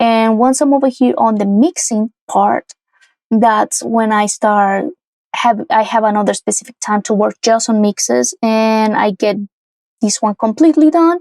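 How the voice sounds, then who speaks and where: In a Spanish accent, a woman with a fairly high pitch speaks at a fairly slow pace with ordinary pitch variation and very even loudness, the sound dry and close with no echo. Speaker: music producer and singer. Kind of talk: tutorial. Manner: casual, with frequent fillers and restarts.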